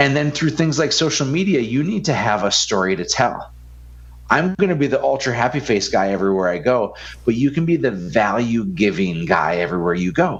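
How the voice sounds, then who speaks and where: A man with an animated tone speaks loud and at a fairly quick pace, his medium pitch making very wide swings. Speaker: business coach and entrepreneur. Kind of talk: podcast interview.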